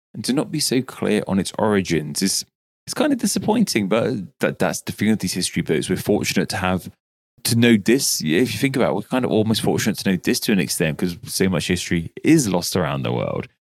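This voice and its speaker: The voice moves at a very fast pace with lively intonation. It carries a British accent. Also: man, fairly low pitch for a man. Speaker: podcast co-host. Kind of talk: casual chat.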